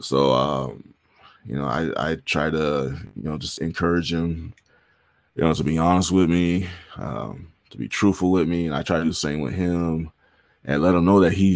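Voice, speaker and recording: A very clean recording with a silent background captures a man speaking at a very deep, low pitch. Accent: American. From Southern California, San Bernardino. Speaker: musician. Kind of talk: casual interview conversation. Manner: halting, with many fillers and repeats.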